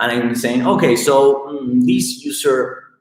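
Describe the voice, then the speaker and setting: Audible room echo surrounds this recording. A man talks at a fairly slow pace. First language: not English. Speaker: tech company co-founder presenting research. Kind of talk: technical presentation. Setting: live stream. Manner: halting, many fillers.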